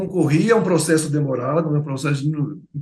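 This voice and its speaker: With monotone, flat intonation, a man speaks at a moderate pace in a fairly high pitch. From Bahia, Brazil (Feira de Santana). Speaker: writer. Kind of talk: interview. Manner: halting.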